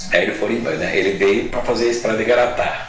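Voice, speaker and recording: Medium male pitch from a man, with audible room echo and noticeable background noise. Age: 70s. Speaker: lawyer. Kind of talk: interview, life story. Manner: halting, with self-corrections.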